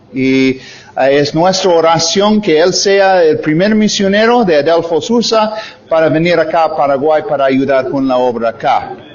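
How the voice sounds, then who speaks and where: A man's fairly high voice at a fairly slow pace with lively intonation, amid audible room echo and noticeable background noise. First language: English (speaking Spanish). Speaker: missionary preacher. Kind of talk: sermon. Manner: halting, many fillers.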